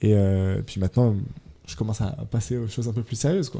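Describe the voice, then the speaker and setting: A man's medium-pitched voice with a dark, mellow tone, ordinary pitch variation and a moderate pace, on a very clean recording with a silent background. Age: 20s. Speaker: music producer and composer. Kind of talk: radio interview. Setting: radio studio. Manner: hesitant, many fillers.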